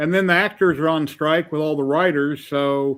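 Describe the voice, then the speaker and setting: A normal speaking voice at a fairly quick pace with fairly even intonation. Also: man. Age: 50s. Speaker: livestream host. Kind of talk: casual chat.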